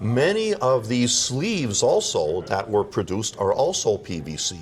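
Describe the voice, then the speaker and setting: A man's voice at a moderate pace with very wide pitch swings, over noticeable background noise. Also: medium pitch for a man. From Quebec, Montreal. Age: 60s. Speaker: audio product maker. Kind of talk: interview. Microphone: too far from the mic.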